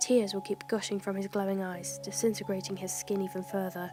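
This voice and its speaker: A soft-spoken woman at medium pitch, with music in the background. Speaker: creepypasta narrator. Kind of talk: horror story narration. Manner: quiet, soft-spoken with emphasised words.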